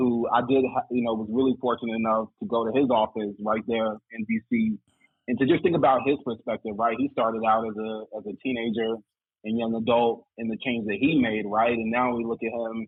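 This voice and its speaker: A man with an American accent, fairly quick pace and monotone, flat intonation. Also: medium pitch for a man. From Greensboro, North Carolina. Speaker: diversity program manager. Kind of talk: casual chat.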